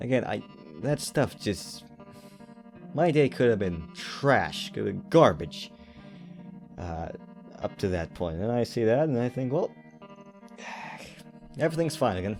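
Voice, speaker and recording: A man at medium pitch with very wide pitch swings, a fairly slow pace and long, frequent pauses, over music in the background. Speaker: animator. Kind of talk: personal reflective talk to camera. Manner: hesitant, with stutters and pauses.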